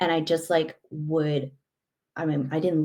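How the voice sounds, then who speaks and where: A woman's voice sounds very deep and low in pitch, with a dark, mellow tone. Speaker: life coach. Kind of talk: conversational interview. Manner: runs words together.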